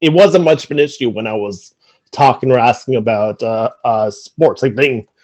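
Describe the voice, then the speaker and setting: Lively intonation in a man's voice of medium pitch. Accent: Newfoundland. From Newfoundland, Canada (St. John's). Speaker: sportswriter. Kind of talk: conference talk. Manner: halting, many fillers and repetitions.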